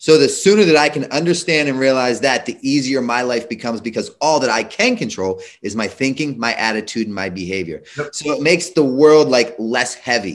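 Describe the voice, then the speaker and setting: Against a quiet background, a man with a medium pitch talks at a fairly quick pace with lively intonation and hardly any pauses. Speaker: addiction intervention professional. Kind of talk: panel discussion. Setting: video call. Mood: earnest, reflective. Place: home room. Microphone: video call.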